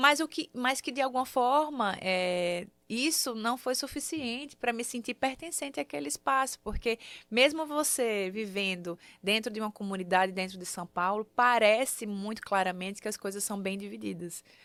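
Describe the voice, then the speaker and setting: With a northeastern Brazilian accent, a woman speaks at a fairly high pitch and moderate pace. Her intonation is lively, and the recording is very clean with a silent background. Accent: Northeastern Brazilian accent, kept. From Sergipe, Brazilian Northeast. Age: 30s. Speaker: singer, actress and multi-artist. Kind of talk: interview.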